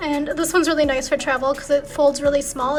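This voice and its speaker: A soft-spoken woman with an American accent, high pitch and fairly even intonation at a very fast pace, with music in the background. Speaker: lifestyle vlogger. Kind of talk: casual vlog monologue. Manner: relaxed, filler-heavy.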